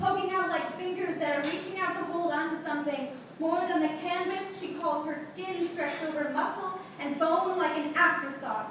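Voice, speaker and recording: A woman's extremely high-pitched, intense voice at a moderate pace, with fairly even intonation over noticeable background noise. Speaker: slam poet. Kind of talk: slam poetry performance. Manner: intense, emotional.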